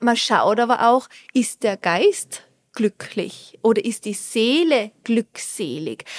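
A woman with a Tyrolean accent, very slow, with lively intonation. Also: dry, close sound with no echo. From Austria, Tyrol. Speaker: Ayurveda specialist and resort manager. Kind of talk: interview. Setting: on location at a hotel.

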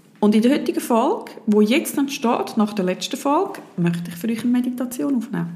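With a high pitch, very wide pitch swings and hardly any pauses, a woman talks at a fairly quick pace against noticeable background noise. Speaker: podcast host and meditation guide. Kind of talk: guided meditation. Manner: calm, gentle, dreamy with long pauses.

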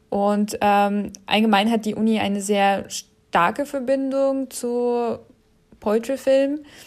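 A woman's fairly high voice at a very slow pace, with ordinary pitch variation, on a very clean recording with a silent background. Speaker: animation artist and film student. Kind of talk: interview.

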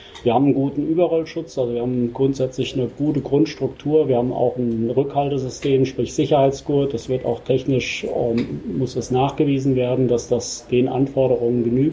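Noticeable background noise runs behind a man with a medium pitch. He talks at a moderate pace in a monotone, flat intonation, with hardly any pauses. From Germany, Rosenthal (Hesse). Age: 50s. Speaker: company managing director. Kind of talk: interview. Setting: on-site visit at company premises.

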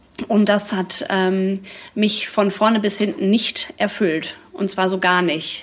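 Very slow speech from a woman at medium pitch, fairly even in intonation, over noticeable background noise. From Dortmund, Ruhr area, Germany. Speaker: café owner, former designer. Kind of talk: live podcast interview. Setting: live event in her café with audience.

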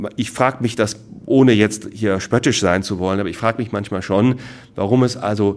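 A man talks at a fairly low pitch. His pitch varies in an ordinary way. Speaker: franchise consultant. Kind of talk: lecture. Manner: animated.

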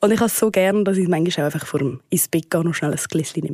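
A woman speaks at a medium pitch with a dark, mellow tone and ordinary pitch variation, in a dry, close sound with no echo on a very clean recording with a silent background. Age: 20s. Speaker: interviewee. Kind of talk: vox pop statement.

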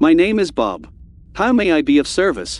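A moderate pace carries the speaker's put-on character voice. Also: man. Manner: courteous, service-minded.

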